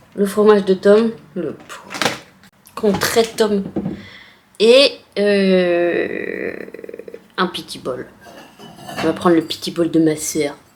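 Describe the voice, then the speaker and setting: Over noticeable background noise, a woman with a medium-pitched voice speaks at a very slow pace, leaving long, frequent pauses. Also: ordinary pitch variation. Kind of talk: casual vlog talk to camera. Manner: playful, talking to her dog.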